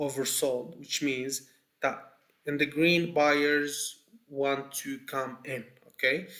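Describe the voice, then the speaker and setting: Speaking at a very slow pace in a non-native accent, a man has a fairly high pitch, a bright, sharp tone and monotone, flat intonation. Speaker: trading educator. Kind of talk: tutorial. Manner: halting, many fillers and repeats.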